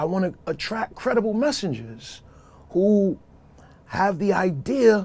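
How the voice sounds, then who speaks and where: A high-pitched man in a Brooklyn accent, with long, frequent pauses. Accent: New York (Brooklyn). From New York City (Brooklyn). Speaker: social worker. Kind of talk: podcast interview.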